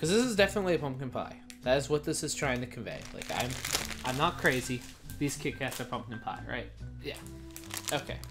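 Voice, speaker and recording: A man talks at a fairly quick pace with ordinary pitch variation, and clear music plays in the background. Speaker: snack reviewer. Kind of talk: casual vlog chat. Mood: playful, chatty. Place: home room. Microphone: camera far.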